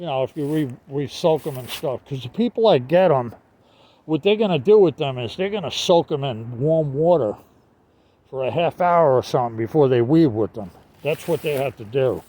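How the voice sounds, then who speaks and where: With a Northeastern US accent, a man speaks at a moderate pace and fairly high pitch, his dark, mellow tone shaped by lively intonation. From US Northeast. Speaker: online seller vlogger. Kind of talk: casual vlog talk. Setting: outdoors. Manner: halting, many fillers.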